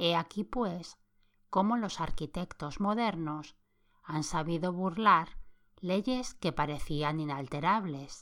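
Very slowly, a woman speaks in a fairly low, soothing voice with ordinary pitch variation. The recording is very clean, with a silent background. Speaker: podcast host, sleep-story narrator. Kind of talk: reading aloud a 1929 magazine in a calm, sleep-inducing bedtime style. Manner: slow, soft, soothing, even pacing.

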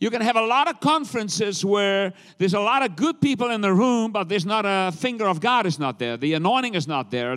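In a very clean recording with a silent background, a man speaks at a high pitch and a fairly quick pace. His tone is animated, with very wide pitch swings. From South Africa. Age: 60s. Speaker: traveling evangelist preacher. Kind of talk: sermon. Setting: church with congregation.

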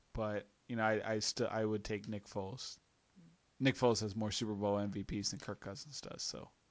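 A man talks at a fairly quick pace in an unremarkable speaking voice. His intonation stays fairly even. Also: fairly low pitch for a man. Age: 30s. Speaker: sports podcast host. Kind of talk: casual chat. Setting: home kitchen.

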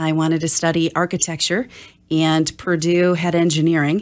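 A woman with an American accent, fairly low pitch and an unremarkable speaking voice, at a moderate pace, on a very clean recording with a silent background. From Wisconsin, US (Oshkosh). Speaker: digital strategy consultant. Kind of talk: interview.

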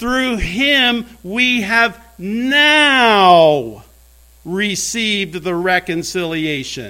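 A man with an American accent speaks very slowly in a raised, projected voice, high-pitched with a bright, sharp tone and lively intonation. Room echo can be heard. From US Midwest, rural Indiana (Brown County). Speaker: pastor. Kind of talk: sermon.

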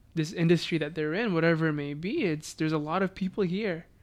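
A man with a plain, everyday voice speaks at a fairly high pitch with fairly even intonation in a very clean recording with a silent background. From Philippines, raised in Beaumont, Texas. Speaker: engineering student. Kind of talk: casual chat.

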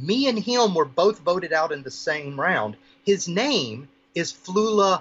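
A man's high-pitched voice at a very slow pace. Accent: American. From US South. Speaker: radio host and podcaster. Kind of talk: casual interview chat.

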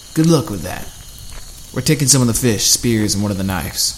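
Over clear background noise, a man uses a gruff, put-on character voice at medium pitch, with lively intonation and a fairly quick pace. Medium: read story. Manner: gruff, sarcastic.

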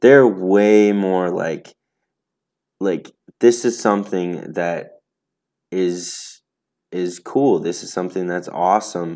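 A man's fairly low voice is captured in a very clean recording against a silent background. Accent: American. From Wisconsin, Racine. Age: 20s. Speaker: churchgoer sharing faith story. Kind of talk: testimony. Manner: halting, many fillers.

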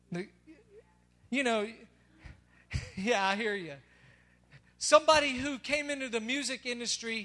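A man with a Southern US accent speaks in a raised, projected voice at an extremely high pitch. His tone is bright and sharp, at a moderate pace with ordinary pitch variation. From Tennessee. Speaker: pastor. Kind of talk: sermon. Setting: church.

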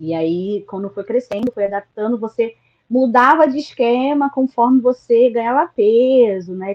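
The pitch shows ordinary variation. It is an ordinary speaking voice. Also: woman. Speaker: HIV activist. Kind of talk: online panel discussion.

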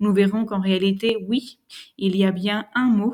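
A woman speaks fairly slowly at a medium pitch, her somewhat breathy voice dark and mellow in tone with fairly even intonation. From France. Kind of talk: lecture. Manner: formal.

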